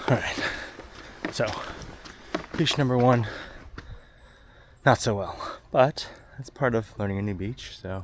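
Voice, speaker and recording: A man at medium pitch speaks at a fairly slow pace with long, frequent pauses and ordinary pitch variation. His loudness swings widely, and there is noticeable background noise. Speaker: fishing vlogger. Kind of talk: casual vlog narration. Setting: outdoors on a beach. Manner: halting.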